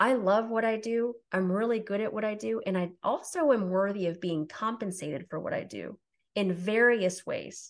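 Over a quiet background, a woman speaks at a moderate pace and a medium pitch with ordinary pitch variation. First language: Spanish. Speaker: tutor and former teacher. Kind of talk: interview.

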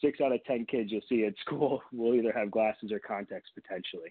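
Using an ordinary speaking voice, a man talks at a medium pitch with fairly even intonation. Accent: American. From Michigan, near Detroit. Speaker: optometrist. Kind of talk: radio interview.

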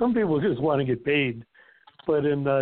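An unremarkable speaking voice from a man, fairly high in pitch, at a moderate pace. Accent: American. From Inland Empire, California. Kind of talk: casual podcast chat.

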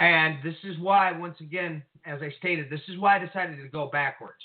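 This man has an unremarkable speaking voice, moving at a moderate pace with ordinary pitch variation. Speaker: co-host / call-in commentator on prophecy. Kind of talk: casual discussion of Bible prophecy. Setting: phone or online call with technical trouble.

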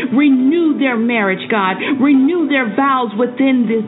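A woman's high-pitched voice, intense in tone, with ordinary pitch variation at a fairly slow pace, over music in the background. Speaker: prayer leader / devotional host. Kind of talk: fervent prayer. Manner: fervent, rhythmic, repeating 'God' after each phrase, pleading and intense.

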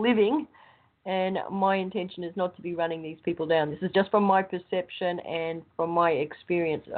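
Medium in pitch, a woman speaks with an Australian accent and fairly even intonation. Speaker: show panelist. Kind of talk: casual chat.

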